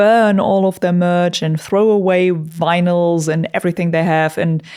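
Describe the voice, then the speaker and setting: A woman with a non-native accent speaks at a moderate pace in a fairly low pitch, her tone dark and mellow and her pitch variation ordinary. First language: not English. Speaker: YouTuber and metal musician. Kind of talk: casual commentary monologue. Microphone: studio vocal microphone.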